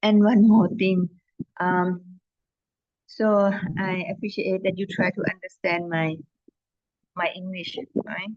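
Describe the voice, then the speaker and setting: A woman with a medium pitch speaks very slowly in a flat monotone, somewhat breathy, with long, frequent pauses. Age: 60s. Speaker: Buddhist nun and meditation lecturer. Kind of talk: lecture. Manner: halting, many fillers.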